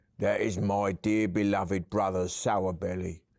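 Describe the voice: Intonation stays fairly even through this plain reading aloud.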